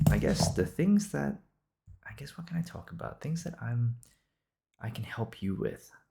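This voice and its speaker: With a relaxed, dark, mellow tone, a man at a medium pitch sounds somewhat breathy and makes very wide pitch swings. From Singapore. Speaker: podcaster. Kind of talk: improvised casual monologue. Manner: casual, with frequent fillers and restarts.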